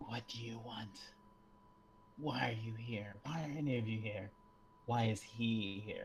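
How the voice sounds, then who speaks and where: A man in a put-on character voice, medium in pitch, at a fairly slow pace with long, frequent pauses and clear background noise. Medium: actual play.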